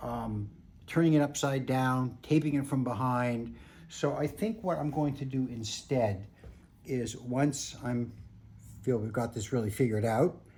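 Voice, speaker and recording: A somewhat breathy, dark and mellow voice at a fairly slow pace. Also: man, medium pitch for a man, ordinary pitch variation. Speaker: picture framer. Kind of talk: tutorial.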